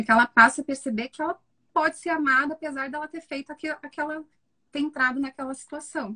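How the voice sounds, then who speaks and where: With a raised, projected voice, a woman speaks at a fairly quick pace in a high pitch, her tone bright and sharp, her pitch variation ordinary, and the sound dry and close with no echo. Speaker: psychologist. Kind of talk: live stream film analysis. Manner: fast.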